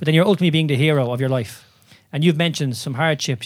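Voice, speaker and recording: Heard on a very clean recording with a silent background, a man with an Irish accent speaks at a fairly high pitch. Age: 30s. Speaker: podcast host and movement coach. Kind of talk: casual interview.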